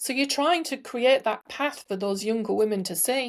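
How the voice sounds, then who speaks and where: A woman with an English accent and a fairly high voice speaks with ordinary pitch variation in a very clean recording with a silent background. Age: 60s. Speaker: entrepreneur and sustainability advocate. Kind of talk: podcast interview.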